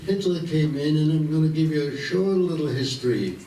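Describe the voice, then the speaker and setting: A man with an American accent speaks at a fairly slow pace, with audible room echo and noticeable background noise. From Vienna, Austria. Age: 90s. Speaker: war veteran. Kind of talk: talk to students. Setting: school assembly.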